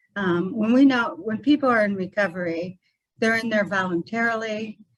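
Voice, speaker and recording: Ordinary pitch variation at a moderate pace. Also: woman. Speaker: mental health support group speaker. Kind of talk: presentation at a community meeting. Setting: meeting room with microphone. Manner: soft-spoken.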